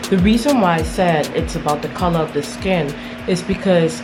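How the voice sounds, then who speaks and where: The speech moves at a moderate pace with ordinary pitch variation. Audible room echo and noticeable background noise come through. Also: woman. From Caribbean. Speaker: vlogger, English teacher in China. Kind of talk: vlog monologue. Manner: animated, emphatic.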